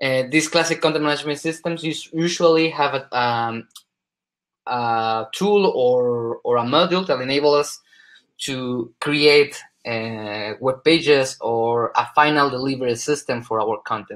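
Speaking at a fairly slow pace with ordinary pitch variation, the voice has a Spanish accent over a quiet background. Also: man, fairly high pitch for a man. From Spain. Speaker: solution specialist. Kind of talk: conference presentation. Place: home room. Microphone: webcam.

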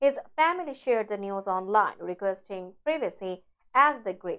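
The background is quiet. A woman talks at a moderate pace. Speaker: news anchor. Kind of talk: news reading. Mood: sombre, measured. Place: studio. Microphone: lapel.

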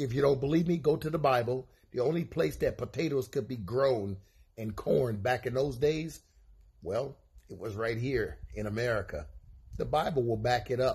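A man with a Southern US accent and vocal fry speaks at a moderate pace with ordinary pitch variation. The background is quiet. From Mississippi, USA. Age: old. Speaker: self-described elder sharing views. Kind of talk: informal lecture to camera. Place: home room. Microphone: phone near.

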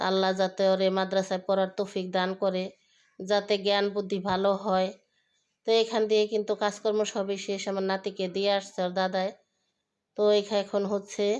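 In a very clean recording with a silent background, a woman of medium pitch speaks with flat, monotone intonation. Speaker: vlogger. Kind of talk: casual vlog narration.

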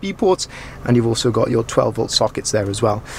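A man talks at a fairly quick pace with lively intonation and vocal fry. Faint background noise sits behind him.

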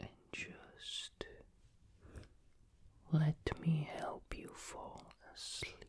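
A soft-spoken man whispers at a very slow pace. His tone is soothing. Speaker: ASMR creator. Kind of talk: soothing sleep guidance. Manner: soft soothing near-whisper. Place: home room.

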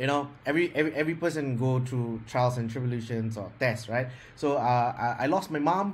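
The pace is fairly quick, with ordinary pitch variation. The voice sounds somewhat breathy. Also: man. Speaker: speaker. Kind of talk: interview answer. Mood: reflective, personal story. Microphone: video call.

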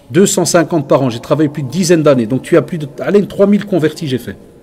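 Noticeable background noise around a man with a fairly high pitch. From Belgium. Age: 40s. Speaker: Islamic teacher. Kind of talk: religious lecture.

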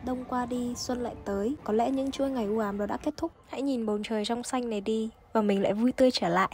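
A woman's fairly high, fairly quick voice with fairly even intonation and hardly any pauses. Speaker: Vietnamese student in Japan, vlogger. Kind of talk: vlog voice-over narration. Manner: uneven pitch.

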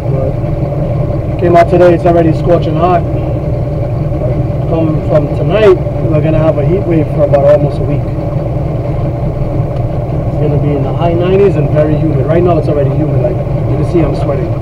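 A man at a moderate pace with long, frequent pauses, against loud background noise. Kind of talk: casual vlog chat. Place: boat. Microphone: camera far.

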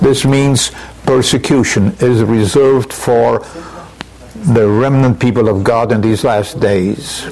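A man at a very slow pace, his loudness very even, with light background noise. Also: ordinary pitch variation. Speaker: preacher. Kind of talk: sermon. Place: church.

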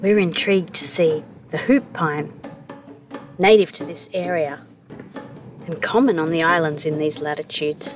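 Over music in the background, a woman speaks at a moderate pace and fairly low pitch, with long, frequent pauses and a dry sound with no echo. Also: ordinary pitch variation. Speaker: sailing vlog narrator. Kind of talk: travel vlog narration.

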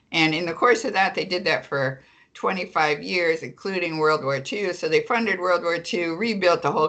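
A woman at a fairly quick pace, lively intonation, quiet background. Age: old. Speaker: attorney and public banking advocate, author; attorney. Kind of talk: interview. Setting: remote call. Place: home room. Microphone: video call.

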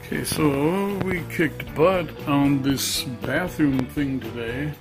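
Clear music plays in the background as the speaker talks at a very slow pace. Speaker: DIY remodeler. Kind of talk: casual walkthrough to camera. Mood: pleased, upbeat. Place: bathroom. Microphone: phone near.

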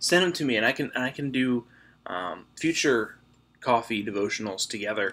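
Lively intonation marks this man's speech at a moderate pace. His tone is bright and sharp. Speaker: church devotional host. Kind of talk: casual devotional talk. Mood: warm, friendly. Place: home room. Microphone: webcam.

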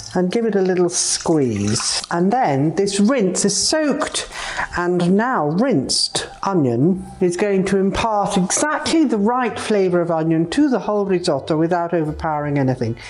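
Very wide pitch swings mark this woman's medium-pitched voice. She keeps a moderate pace and very even loudness. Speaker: chef. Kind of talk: cooking demonstration to camera. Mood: warm, enthusiastic. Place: kitchen.

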